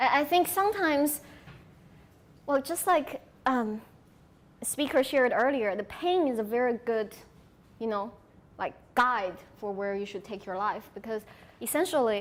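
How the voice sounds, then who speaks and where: A woman with a Sichuan accent speaks at a moderate pace in a high pitch, her intonation lively and broken by long, frequent pauses. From China, Sichuan. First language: Sichuanese Chinese. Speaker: conference speaker. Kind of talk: audience Q&A.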